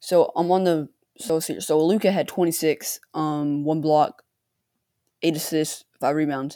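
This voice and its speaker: A woman speaks with a very deep, low pitch, a dark, mellow tone and fairly even intonation. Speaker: sports card podcast host. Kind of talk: casual solo commentary. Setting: home recording with computer mic and headphones. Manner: halting, many fillers; uneven volume.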